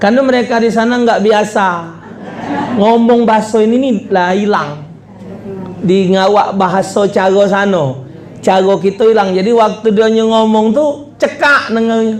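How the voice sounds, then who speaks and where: A man with a high pitch and a Palembang accent speaks in an animated tone at a fairly slow pace, with long, frequent pauses, very even loudness and ordinary pitch variation, amid noticeable background noise and audible room echo. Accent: Palembang Malay. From Indonesia, Palembang (South Sumatra). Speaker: Islamic preacher. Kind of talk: humorous sermon.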